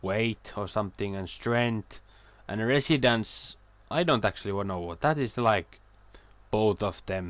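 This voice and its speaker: A man with a non-native accent, fairly low in pitch, at a fairly slow pace with ordinary pitch variation. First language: not English. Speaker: video game streamer. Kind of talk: casual chat. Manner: halting.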